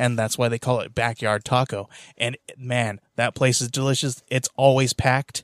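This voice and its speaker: In a very clean recording with a silent background, a man speaks at a medium pitch in a monotone, flat intonation, the sound dry and close with no echo. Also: moderate pace. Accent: American. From California. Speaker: podcast host, comic shop worker. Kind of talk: casual chat. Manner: halting.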